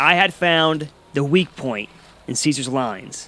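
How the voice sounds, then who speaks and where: Ordinary pitch variation in a male voice with a bright, sharp tone. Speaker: history travel vlogger. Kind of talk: travel vlog narration. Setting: outdoors. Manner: quiet.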